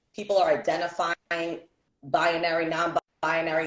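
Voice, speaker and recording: Speaking in an American accent, the woman keeps a fairly low pitch. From New York City (Bronx, Brooklyn). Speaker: podcast co-host. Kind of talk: casual chat. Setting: livestream.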